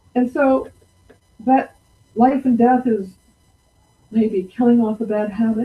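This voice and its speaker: A woman's voice comes across somewhat breathy, and its pitch varies in an ordinary way. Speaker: presenter. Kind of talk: storytelling talk. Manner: slow.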